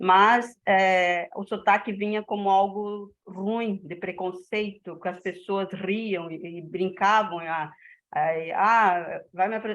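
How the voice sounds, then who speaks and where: Her intonation stays monotone and flat as this woman speaks at medium pitch. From northern Santa Catarina, Brazil. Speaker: teacher. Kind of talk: personal anecdote in class.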